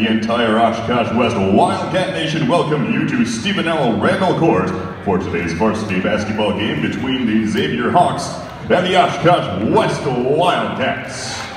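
Speech at a fairly slow pace with audible room echo and light background noise. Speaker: public address announcer. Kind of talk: sports arena PA announcement. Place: stadium.

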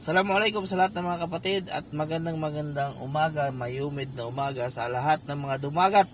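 A man with an ordinary speaking voice, fairly high in pitch with ordinary pitch variation, talks with hardly any pauses. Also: fairly quick pace. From Mindanao, Philippines. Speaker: fishing vlogger. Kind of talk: casual vlog narration. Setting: outdoors.

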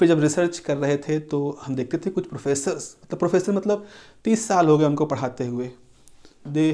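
A man with a dark, mellow tone speaks at a fairly slow pace. The background is quiet. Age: 60s. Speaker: professor; teacher. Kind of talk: lecture. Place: classroom. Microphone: lapel.

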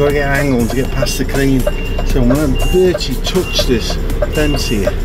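This man keeps a moderate pace while music sounds in the background. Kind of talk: casual vlog commentary. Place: car. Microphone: camera far.

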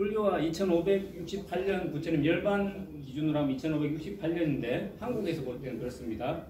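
There is noticeable background noise. A man speaks at a very slow pace. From South Korea. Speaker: Buddhist monk and chant master. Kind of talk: lecture. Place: classroom. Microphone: phone near.

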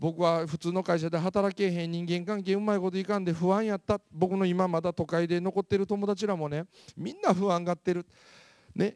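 A man at a moderate pace, high in pitch with monotone, flat intonation, on a very clean recording with a silent background and a dry, close sound with no echo. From Japan, Mie Prefecture (Kansai-type dialect). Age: 40s. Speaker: motivational speaker. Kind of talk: lecture.

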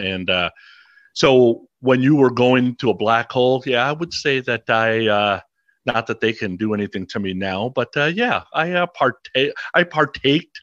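A man's medium-pitched voice, moderate in pace, with ordinary pitch variation. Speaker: rock podcaster. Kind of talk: casual chat.

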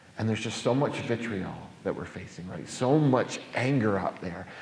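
With an American accent, a man of medium pitch speaks at a moderate pace, his loudness rising and falling sharply amid audible room echo. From New York. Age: 40s. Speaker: pastor. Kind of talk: public talk. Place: church. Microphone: handheld.

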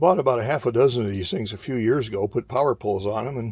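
A somewhat breathy man, dry sound with no echo, ordinary pitch variation, quiet background. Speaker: radio hobbyist showing his gear. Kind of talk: casual vlog tutorial. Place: home room. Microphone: phone near.

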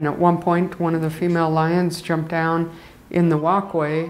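Against light background noise, a woman talks at a moderate pace with a fairly low pitch. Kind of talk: interview answer. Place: studio.

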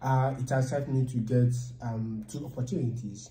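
A man's medium-pitched, somewhat breathy voice in a Nigerian accent, dark and mellow in tone, monotone and flat in intonation, with audible room echo. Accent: Nigerian English (Igbo). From Nigeria, Enugu State. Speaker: data science student. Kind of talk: casual chat. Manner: halting. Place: meeting room. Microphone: camera far.

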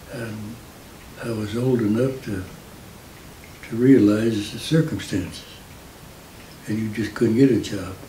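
A man with an American accent speaks with fairly even intonation, leaving long, frequent pauses and swinging widely in loudness. Light background noise and audible room echo are present. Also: fairly slow pace. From Indiana. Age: 80s+. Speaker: war veteran. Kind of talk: interview answer. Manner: hesitant, halting. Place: home room.

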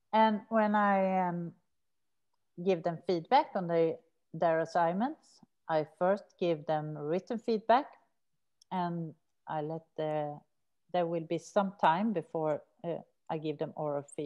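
A woman with a Swedish accent speaks with ordinary pitch variation and long, frequent pauses. The background is quiet. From Sweden. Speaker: researcher and prison maths teacher; teacher. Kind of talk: academic seminar talk. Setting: video call. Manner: hesitant with fillers. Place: home room. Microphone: webcam.

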